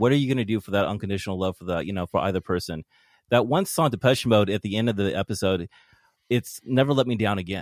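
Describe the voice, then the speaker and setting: Dry, close sound with no echo carries a man speaking at a very fast pace and fairly low pitch. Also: ordinary pitch variation. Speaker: podcast host. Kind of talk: casual chat.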